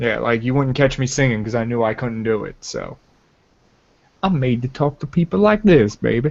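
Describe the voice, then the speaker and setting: A man with an unremarkable speaking voice talks at medium pitch and a moderate pace with lively intonation. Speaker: gaming podcast host. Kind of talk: casual chat.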